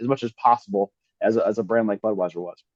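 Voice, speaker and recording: Talking at a fairly quick pace with an American accent, a man shows ordinary pitch variation. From US Midwest, St. Louis, Missouri. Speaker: digital marketing consultant. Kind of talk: online presentation. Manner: casual, with many fillers.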